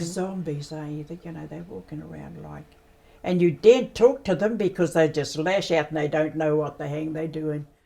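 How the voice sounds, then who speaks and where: A woman speaks at a moderate pace with a very deep, low pitch, vocal fry and a dark, mellow tone. Her pitch varies in an ordinary way while her loudness swings a lot. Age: 80s+. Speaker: Māori warden. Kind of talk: interview answer. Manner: blunt, straight-talking.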